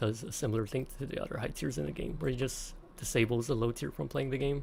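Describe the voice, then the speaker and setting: A quiet, whispering man at a very fast pace. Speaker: gaming streamer. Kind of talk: live gameplay commentary. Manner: quiet, near-whisper; casual, goofy.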